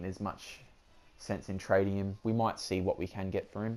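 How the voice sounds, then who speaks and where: A man's fairly low, dark and mellow voice in an Australian accent, with monotone, flat intonation. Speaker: gaming YouTuber. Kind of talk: gameplay commentary. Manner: casual, hesitant with many fillers.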